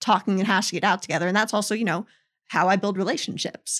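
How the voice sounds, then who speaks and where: This is a woman with a medium pitch. The sound is dry and close with no echo. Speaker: customer onboarding specialist. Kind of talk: casual interview. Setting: studio. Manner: chatty.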